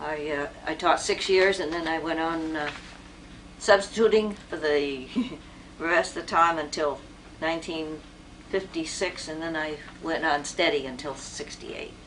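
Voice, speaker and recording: A woman speaks at a moderate pace in a very deep, low voice with ordinary pitch variation and long, frequent pauses. Noticeable background noise runs underneath. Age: 80s+. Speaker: retired teacher. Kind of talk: interview. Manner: halting.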